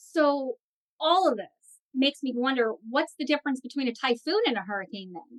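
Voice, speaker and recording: In a dry, close recording with no echo, a woman with a high pitch speaks at a fairly quick pace in an enthusiastic tone, her intonation lively and her loudness swinging widely. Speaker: library program host. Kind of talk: live program hosting.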